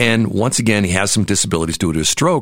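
With an American accent, a man has an ordinary speaking voice, a fairly low pitch and ordinary pitch variation. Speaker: radio and podcast host. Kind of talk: interview. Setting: studio.

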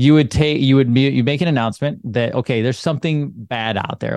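A man at medium pitch with an unremarkable speaking voice, fairly quick pace, and a dry, close sound with no echo over a quiet background. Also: hardly any pauses. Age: 40s. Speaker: chiropractor and online show founder. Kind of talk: casual interview chat.

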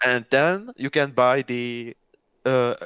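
A man in a Czech accent at a very slow pace, dry and close with no echo against a quiet background. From Czech Republic. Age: 20s. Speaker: gamer and software developer. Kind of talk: casual chat. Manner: halting.

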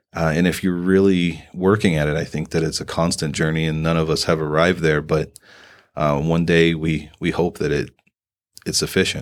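The speaker talks at a moderate pace with an American accent. The intonation is monotone and flat, and the recording is very clean with a silent background. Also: man, very deep, low pitch for a man. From US Midwest, southern Indiana. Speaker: political candidate and military veteran. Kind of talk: casual interview.

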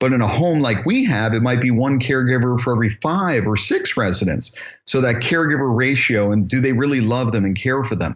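Speaking in an unremarkable speaking voice at a medium pitch, a man goes at a fairly quick pace with hardly any pauses, very even loudness and ordinary pitch variation. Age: 50s. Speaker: assisted living business founder and educator. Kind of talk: interview.

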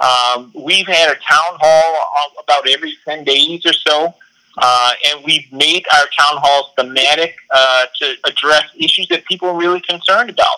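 A man with an American accent talks at a moderate pace, his pitch fairly high and his intonation fairly even, with hardly any pauses. His tone is bright and sharp, and the sound is dry and close with no echo. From South Carolina, US South. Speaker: political candidate. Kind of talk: interview.

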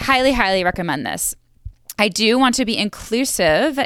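Speaking with an American accent, a woman uses an unremarkable speaking voice at a moderate pace with ordinary pitch variation. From New York. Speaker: wildlife biologist and podcast host. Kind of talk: sales pitch; casual interview chat. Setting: video call from parents' house.

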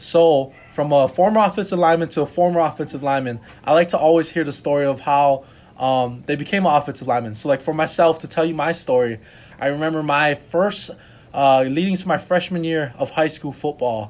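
A man with an ordinary speaking voice, a fairly high pitch, ordinary pitch variation and a fairly quick pace. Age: 20s. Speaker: podcast host. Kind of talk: interview.

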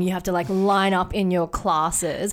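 A woman's fairly low voice in an Australian accent, at a fairly slow pace. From Sydney, Australia. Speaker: product designer and photographer. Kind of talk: casual interview chat. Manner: halting, many fillers.

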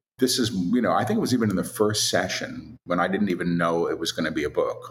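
A man talks at a fairly quick pace. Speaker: spiritual author and channeler. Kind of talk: casual interview.

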